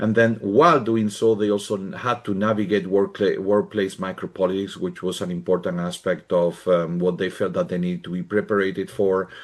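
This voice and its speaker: A man with a Spanish accent speaks at a fairly quick pace with hardly any pauses. His pitch is fairly low and his intonation fairly even. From Spain. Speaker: professor. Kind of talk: conference presentation. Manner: halting.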